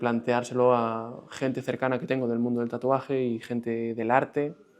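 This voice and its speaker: The man's voice is medium in pitch. He speaks at a moderate speed. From Galicia, Spain (Vigo). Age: 30s. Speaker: tattoo apprentice. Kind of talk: interview. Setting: tattoo studio.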